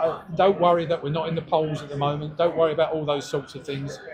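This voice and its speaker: A man's fairly high voice at a fairly quick pace, monotone and flat in intonation, with big swings in loudness and noticeable background noise. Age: 70s. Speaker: political campaigner. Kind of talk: speech to supporters. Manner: halting.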